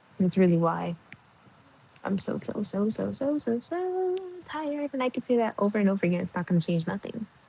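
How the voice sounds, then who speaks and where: Over noticeable background noise, a woman speaks quietly with lively intonation. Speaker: livestreamer. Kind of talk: casual chat. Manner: quiet, hushed.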